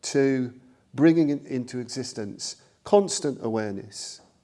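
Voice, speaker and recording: A man's medium-pitched voice with a dark, mellow tone and lively intonation, at a fairly slow pace, in a very clean recording with a silent background. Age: 60s. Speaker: Buddhist teacher. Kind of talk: dharma talk. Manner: halting, many fillers.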